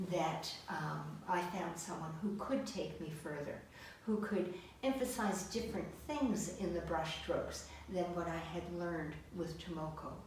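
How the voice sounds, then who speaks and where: Amid noticeable background noise and audible room echo, a woman speaks at a fairly slow pace, her fairly low pitch showing ordinary variation. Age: 70s. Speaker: artist. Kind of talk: interview. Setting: artist's studio.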